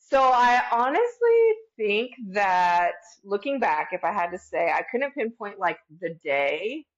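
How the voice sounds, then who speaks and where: Her intonation lively, a woman talks at a fairly slow pace. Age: 40s. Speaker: podcast guest in addiction recovery. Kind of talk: casual interview chat. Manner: animated, casual with swearing.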